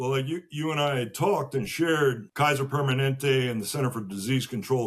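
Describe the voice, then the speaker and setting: At a moderate pace, a man with an American accent speaks in a somewhat breathy voice. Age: 60s. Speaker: podcast guest. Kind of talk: casual interview conversation.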